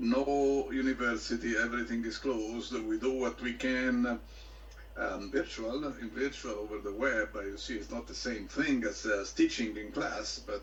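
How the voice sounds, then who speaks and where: Noticeable background noise fills the clip. A man speaks at a moderate pace within it. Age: 60s. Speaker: professor. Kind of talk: casual chat.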